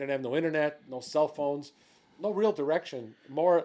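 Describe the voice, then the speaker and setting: With an American accent, a man speaks at a fairly quick pace in a fairly high pitch, using a plain, everyday voice. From Chicago, Mexican American. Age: 60s. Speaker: firefighter and author. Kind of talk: casual interview chat.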